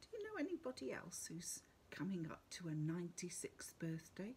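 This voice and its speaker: Light background noise sits behind a woman with an English accent. Her tone is warm and animated. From England. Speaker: school worship leader. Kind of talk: school collective worship address. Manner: warm, animated, speaking to children. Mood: warm, animated, wondering. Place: home room. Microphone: webcam.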